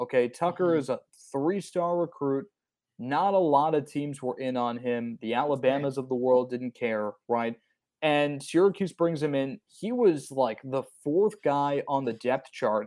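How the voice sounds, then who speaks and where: An unremarkable speaking voice from a man with an American accent, fairly high in pitch, with ordinary pitch variation, a moderate pace and a quiet background. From New Jersey. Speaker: sports podcast host. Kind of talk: casual sports chat.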